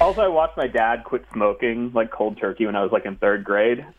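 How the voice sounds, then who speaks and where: A man with an unremarkable speaking voice talks at a fairly quick pace in a medium pitch. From US, moved around; teen years in North Jersey. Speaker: video game developer. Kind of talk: casual interview chat.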